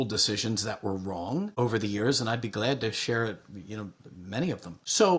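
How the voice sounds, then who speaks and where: The man's intonation is lively and his voice somewhat breathy. He speaks fairly quickly. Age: 60s. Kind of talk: podcast interview.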